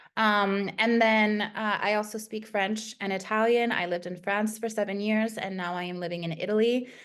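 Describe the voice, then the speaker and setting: With an American accent, a woman speaks at a fairly high pitch in a monotone, flat intonation, with hardly any pauses. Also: moderate pace. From United States, Spanish-speaking household. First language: Spanish. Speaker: content writer. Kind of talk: interview. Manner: many fillers (um, uh).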